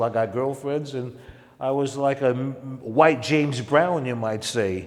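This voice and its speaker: Over noticeable background noise, a man with a New York accent speaks fairly slowly at a medium pitch with ordinary pitch variation. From Harlem, New York. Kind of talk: interview answer.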